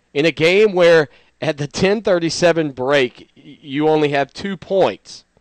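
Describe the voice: A man talks at a fairly slow pace with lively intonation and fairly high pitch, the sound dry and close with no echo.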